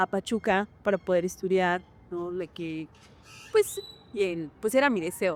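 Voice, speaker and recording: A woman speaks at a very slow pace in a medium pitch. The recording is very clean with a silent background, and the sound is dry and close with no echo. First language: Hñähñu (Otomi) (speaking Spanish). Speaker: actress and dancer. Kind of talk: interview. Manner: hesitant, many fillers.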